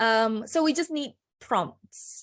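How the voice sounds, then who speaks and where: Against a quiet background, a woman talks in a non-native accent. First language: not English. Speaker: personal branding consultant. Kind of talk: presentation.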